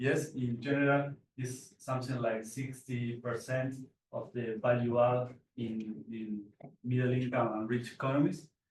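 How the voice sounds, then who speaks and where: At a fairly slow pace, a man with a Spanish accent talks in a medium pitch, somewhat breathy, with fairly even intonation. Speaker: PhD researcher presenting paper. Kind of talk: conference presentation. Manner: halting, many repetitions and fillers.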